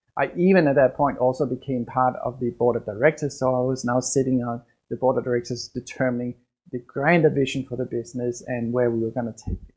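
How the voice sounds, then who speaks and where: Speaking at a very fast pace with a Danish accent, a man uses fairly even intonation at a medium pitch. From Denmark. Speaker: business coach. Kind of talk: podcast monologue.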